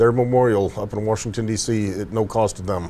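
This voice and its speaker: A man speaks with an American accent. His dark, mellow tone moves at a moderate pace. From Buffalo, New York. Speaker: veterans charity volunteer. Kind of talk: interview.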